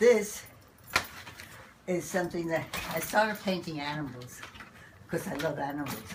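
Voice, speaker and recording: Over noticeable background noise, a speaker with an American accent talks at a moderate pace with lively intonation. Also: woman. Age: 90s. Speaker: painter. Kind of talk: interview answer.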